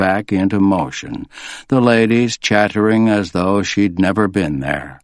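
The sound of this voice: The clip is an unforced reading voice with fairly even intonation.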